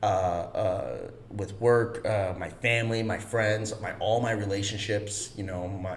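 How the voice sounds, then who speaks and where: With an American accent, a man speaks at a very slow pace in a fairly low pitch and a monotone, flat intonation. Audible room echo and noticeable background noise fill the recording. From Chicago, US Midwest. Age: 30s. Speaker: actor. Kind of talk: casual chat.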